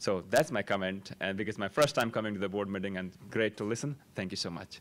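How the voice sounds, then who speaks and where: A man with a Nepali accent, a fairly low pitch, a fairly quick pace and ordinary pitch variation. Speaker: parent speaking at public comment. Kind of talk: public comment at board meeting. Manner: halting.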